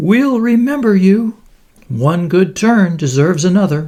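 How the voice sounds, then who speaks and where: At a moderate speed, the speaker performs in an assumed character voice. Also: man, high pitch for a man. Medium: read story.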